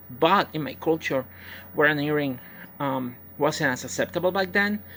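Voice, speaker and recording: A woman with a Puerto Rican accent speaks at a moderate pace in a very deep, low pitch with lively intonation, recorded very cleanly against a silent background. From Puerto Rico. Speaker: professional wrestler. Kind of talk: personal testimony. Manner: halting, many fillers.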